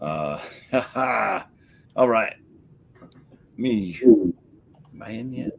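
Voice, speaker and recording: Over noticeable background noise, a medium-pitched man with a New England accent talks at a very slow pace with lively intonation and long, frequent pauses. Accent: Yankee. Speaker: beer review show host. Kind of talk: casual beer tasting chat.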